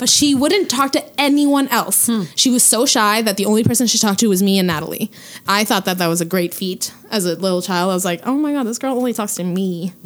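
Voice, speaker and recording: A woman speaks very fast with hardly any pauses, using lively intonation at a fairly high pitch. Noticeable background noise sits behind her. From Quebec, Hull (Gatineau). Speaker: podcast co-host guest. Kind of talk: casual chat.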